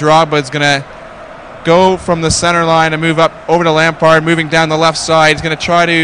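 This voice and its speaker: A man with a Canadian accent and a fairly high pitch is heard against noticeable background noise. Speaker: esports commentator. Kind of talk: live commentary; casual chat.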